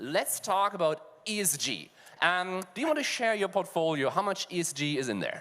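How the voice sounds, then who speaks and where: A man with a German accent and a high pitch, bright and sharp in tone, with lively intonation at a moderate pace. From Germany. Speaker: fintech panelist. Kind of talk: panel discussion. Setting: stage with audience.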